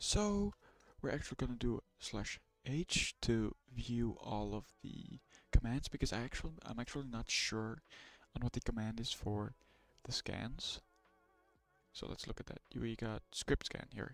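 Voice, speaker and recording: With a non-native accent, a man talks at a fairly slow pace and medium pitch with ordinary pitch variation, taking long, frequent pauses, in a dry, close recording with no echo and music in the background. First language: not English. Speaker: streamer learning ethical hacking. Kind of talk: live stream tutorial. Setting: live stream with screen share.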